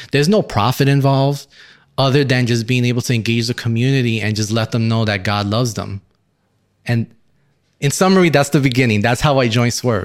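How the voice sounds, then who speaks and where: A man with a plain, everyday voice speaks at a fairly quick pace, medium pitch and ordinary pitch variation. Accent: American. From Brooklyn, New York City. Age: young. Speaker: engineer, church member. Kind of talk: testimony.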